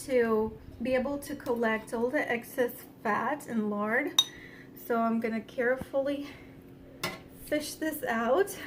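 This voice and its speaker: Speaking at a fairly slow pace in a high voice, a woman is heard over noticeable background noise. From Ukraine. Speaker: home cook. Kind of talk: tutorial. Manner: casual with frequent fillers.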